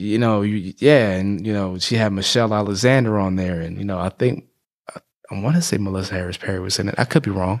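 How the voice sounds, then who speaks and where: A man with an American accent and a fairly low pitch talks at a very fast pace on a very clean recording with a silent background. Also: ordinary pitch variation. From US, Prince George's County, Maryland (DC area). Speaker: podcast host. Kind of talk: casual interview. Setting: studio. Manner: halting, many fillers and repetitions.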